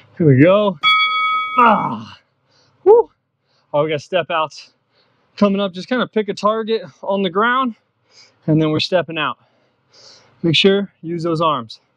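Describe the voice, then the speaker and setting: Over music in the background, a man speaks with lively intonation and long, frequent pauses, the sound dry with no echo. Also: fairly slow pace. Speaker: fitness instructor. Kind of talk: workout coaching instruction.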